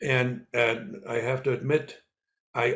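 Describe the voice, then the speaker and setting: A somewhat breathy male voice at a medium pitch. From East Germany. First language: German. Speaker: former spy and author. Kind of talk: interview. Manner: halting, with many repeats and fillers.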